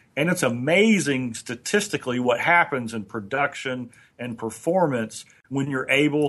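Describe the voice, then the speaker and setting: In a normal speaking voice with ordinary pitch variation, the speaker goes at a fairly slow pace over a quiet background. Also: man. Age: 50s. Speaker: motivational trainer. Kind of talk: casual chat.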